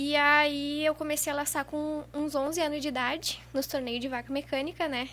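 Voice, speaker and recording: A woman's high-pitched, bright, sharp voice in a monotone, flat intonation, at a moderate pace with hardly any pauses. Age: 20s. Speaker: rodeo lasso competitor. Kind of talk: podcast interview. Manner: casual, conversational.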